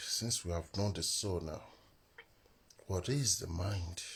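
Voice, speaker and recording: Quiet and somewhat breathy, the voice moves at a fairly slow pace with lively intonation. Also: man. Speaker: spiritual teacher. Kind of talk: live stream teaching. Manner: quiet, low volume.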